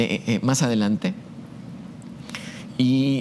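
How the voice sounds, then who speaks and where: The voice shows ordinary pitch variation. There is noticeable background noise. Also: man. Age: 60s. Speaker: university math professor. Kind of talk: testimony. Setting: show interview. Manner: hesitant, frequent fillers and repetitions.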